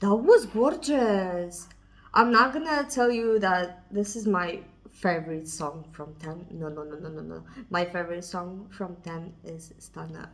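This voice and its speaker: A woman speaks with a non-native accent at a fairly slow pace. Her intonation is lively, with big swings in loudness. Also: fairly low pitch for a woman. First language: not English. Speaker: K-pop reaction youtuber. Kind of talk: casual music video reaction to camera. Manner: excited.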